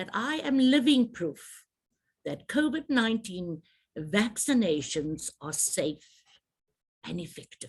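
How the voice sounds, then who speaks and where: The pace is very slow. The voice is somewhat breathy. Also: woman. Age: 60s. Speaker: trade association president. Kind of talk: public health briefing address. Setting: virtual media briefing.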